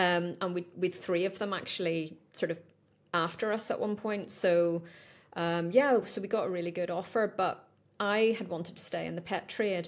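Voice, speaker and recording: A woman speaks at a moderate pace in a Northern Irish accent. Her pitch is medium and her intonation fairly even. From Northern Ireland. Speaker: pet supplement business owner. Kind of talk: podcast interview. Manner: conversational, with frequent fillers.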